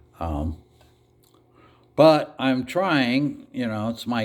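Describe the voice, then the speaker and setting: A man speaks at medium pitch. The recording is very clean, with a silent background. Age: 60s. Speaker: vlogger. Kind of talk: casual monologue. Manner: casual, hesitant with fillers.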